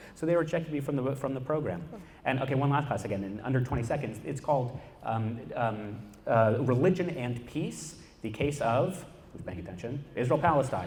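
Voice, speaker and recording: Lively intonation carries this somewhat breathy voice through an audible room echo. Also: man, medium pitch for a man, fairly quick pace. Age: 20s. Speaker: activist. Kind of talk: panel talk. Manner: animated.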